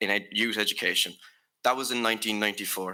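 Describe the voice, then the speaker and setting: In a Limerick accent, a man speaks at a medium pitch with a bright, sharp tone and fairly even intonation on a very clean recording with a silent background. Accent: Irish (Limerick). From Ireland, Limerick. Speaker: youth delegate. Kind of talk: prepared conference speech. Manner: formal.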